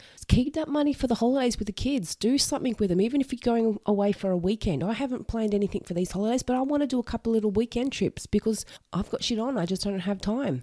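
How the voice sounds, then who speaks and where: A woman with an Australian accent speaks at a very fast pace with hardly any pauses. Her voice has a fairly high pitch, a dark, mellow tone and ordinary pitch variation. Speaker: podcast host, single mother. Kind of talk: solo podcast monologue. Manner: casual, conversational.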